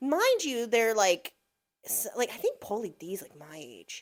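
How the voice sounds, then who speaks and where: With an American accent, a woman speaks in an animated tone. Her pitch swings very widely. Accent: New Jersey accent, strong at times. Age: 40s. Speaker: teacher. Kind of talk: casual chat.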